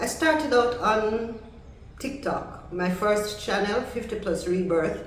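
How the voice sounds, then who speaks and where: Over noticeable background noise, a woman talks very slowly at a fairly high pitch with ordinary pitch variation. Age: 60s. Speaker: content creator. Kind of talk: casual talk to camera.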